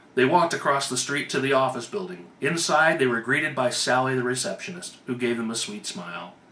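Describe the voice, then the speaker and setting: Over noticeable background noise, a man talks at a fairly quick pace with lively intonation and hardly any pauses. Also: medium pitch for a man. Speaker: author. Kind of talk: read story.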